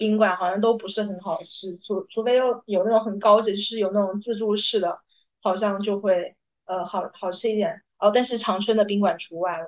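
In a plain, everyday voice, a woman speaks at a moderate pace with medium pitch and fairly even intonation. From Hunan, China. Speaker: podcast co-host, consultant. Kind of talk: casual chat.

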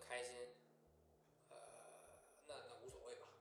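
There is audible room echo around this man's voice. He speaks with a Northeastern Chinese accent at a fairly slow pace. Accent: Northeastern Mandarin. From Northeast China. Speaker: HR professional, former DJ. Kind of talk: casual chat.

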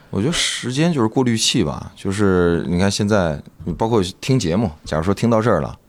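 With an ordinary speaking voice, a man talks at a fairly quick pace with fairly low pitch and lively intonation. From Northeast China. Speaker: stand-up comedian and comedy club owner. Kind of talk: casual chat.

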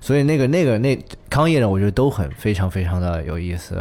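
A man's fairly low voice, dark and mellow in tone, with lively intonation. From Chengdu, Sichuan. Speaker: musician. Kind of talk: casual chat.

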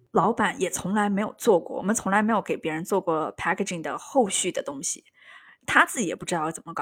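With a dry, close sound and no echo, a woman has an ordinary speaking voice at a medium pitch with lively intonation. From Yunnan, China. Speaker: podcast host. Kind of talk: casual chat.

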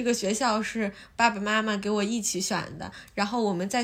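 A woman talks in an ordinary speaking voice at a moderate pace. Her pitch sits fairly high. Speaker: podcast host. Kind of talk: casual chat. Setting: at friend's home.

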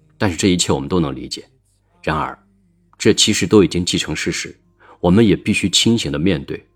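A man with a very deep, low pitch and vocal fry speaks at a fairly quick pace. His intonation is lively, broken by long, frequent pauses. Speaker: relationship podcast host. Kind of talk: reflective monologue.

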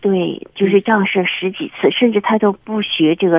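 Noticeable background noise accompanies a woman speaking at a moderate pace with a medium pitch and ordinary pitch variation. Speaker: caller. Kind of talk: radio phone-in advice call. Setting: phone call. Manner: halting.

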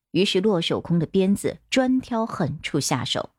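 The voice reads in an unforced way. Its intonation is lively.

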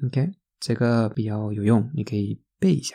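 In a Spanish accent, a woman speaks with a very deep, low pitch. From Spain. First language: Spanish (speaking Chinese). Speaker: language teacher. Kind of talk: tutorial.

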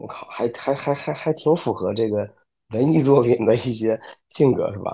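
At a moderate pace and medium pitch, a man speaks with a dark, mellow tone and ordinary pitch variation. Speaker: new father. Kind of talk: casual chat. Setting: online recording.

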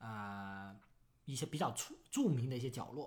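This is an ordinary speaking voice at a moderate pace. Its pitch varies in an ordinary way. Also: man. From Foshan, Guangdong, China. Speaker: crypto podcast co-host. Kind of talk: casual chat.

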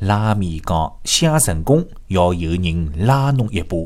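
This is a man talking at a very slow pace. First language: Shanghainese (speaking Chinese). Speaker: radio show host. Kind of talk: radio monologue telling jokes in Shanghainese. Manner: animated, laughing.

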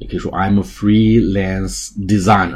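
In a room with audible echo, a man with a very deep, low pitch talks at a fairly slow pace in a somewhat breathy voice. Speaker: English teacher. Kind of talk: tutorial.

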